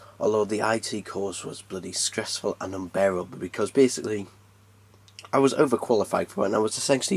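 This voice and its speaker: Very fast, fairly low-pitched man's speech with fairly even intonation. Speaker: tech youtuber. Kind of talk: unboxing tutorial. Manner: casual, conversational.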